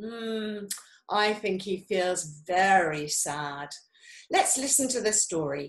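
Lively intonation in an unforced reading voice

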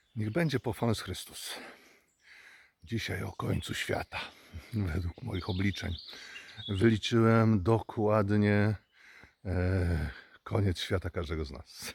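A man speaks very slowly in a fairly low, somewhat breathy voice. His pitch varies in an ordinary way, with long, frequent pauses. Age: 60s. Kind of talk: religious reflection talk.

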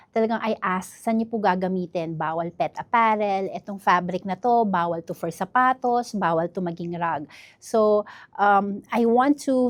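A normal speaking voice at a moderate pace, with ordinary pitch variation, a dry, close sound with no echo and a quiet background. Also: woman. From northern Mindanao, Iligan City. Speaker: entrepreneur. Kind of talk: interview.

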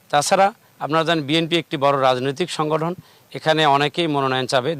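A man's plain, everyday voice with fairly even intonation. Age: 40s. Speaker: local politician. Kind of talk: political interview. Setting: outdoors with large crowd.

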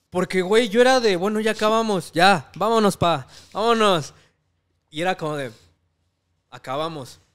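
High-pitched man with lively intonation, a moderate pace and long, frequent pauses, against a quiet background. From Mexico. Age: 20s. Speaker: comedy channel audio producer and actor; actor. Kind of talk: casual interview chat. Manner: casual, slangy. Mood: relaxed, sometimes reflective. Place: home room. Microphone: studio mic.

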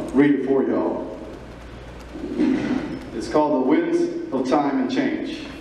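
The speech comes very slowly, with long, frequent pauses. Strong room echo and light background noise are present. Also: man. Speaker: gala speaker reciting poem. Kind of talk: poetry reading at a gala event. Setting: live event hall. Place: hall.

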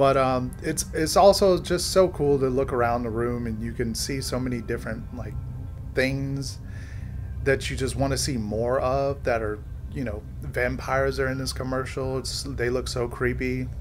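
A man talks at a moderate pace. Music can be heard behind him. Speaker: video reviewer. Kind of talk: commentary. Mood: amused, enthusiastic. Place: home room.

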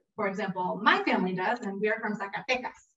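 Over light background noise, a woman speaks with audible room echo. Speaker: program director hosting demo. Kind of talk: event introduction to audience. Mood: warm, lightly humorous. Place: meeting room. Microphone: camera far.

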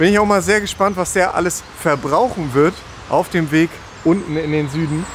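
A man talks at a fairly quick pace in a high voice. The sound is dry with no echo, over light background noise. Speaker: car vlogger. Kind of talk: casual vlog chat. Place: street. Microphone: phone near.

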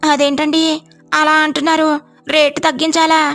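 Using a cartoonish character voice, a woman speaks fairly slowly at a high pitch in a monotone, flat intonation. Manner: polite, shopkeeper's courtesy.

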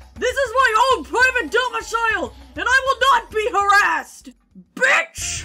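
A woman uses a put-on character voice at a moderate pace. Her loudness swings widely. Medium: dub.

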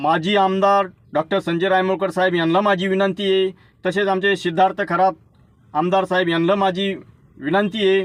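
A man's high voice stays at a very even loudness in a monotone, flat intonation. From Maharashtra, Buldhana district (Lonar area). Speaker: local community member / vlogger. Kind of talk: personal video invitation. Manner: repetitive, pleading.

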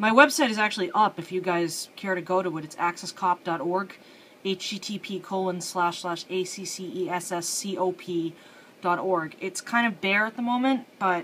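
A woman at a fairly slow pace, ordinary pitch variation, light background noise. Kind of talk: casual tutorial commentary. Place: home room. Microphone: phone near.

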